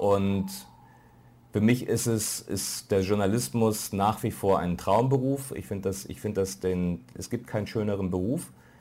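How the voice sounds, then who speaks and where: A man with a fairly low pitch and a dark, mellow tone talks at a fairly slow pace, with audible room echo around him. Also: ordinary pitch variation. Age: middle-aged. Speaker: foreign correspondent. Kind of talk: lecture. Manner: halting.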